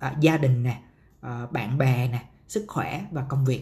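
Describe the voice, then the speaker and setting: Somewhat breathy and fairly high in pitch, a man talks at a fairly slow pace with lively intonation. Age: 30s. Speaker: podcast host, marketer. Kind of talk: solo podcast monologue. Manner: casual, many fillers.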